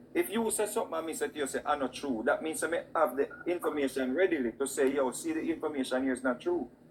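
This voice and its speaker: At a very fast pace, a man with a Jamaican accent speaks at a fairly high pitch with lively intonation. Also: hardly any pauses. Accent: Jamaican Patois-inflected. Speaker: talk show co-host. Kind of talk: heated debate.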